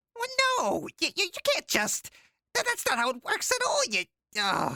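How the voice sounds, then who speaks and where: A put-on character voice, squeaky and extremely high-pitched, at a moderate pace. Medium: audio drama. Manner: smug, sarcastic.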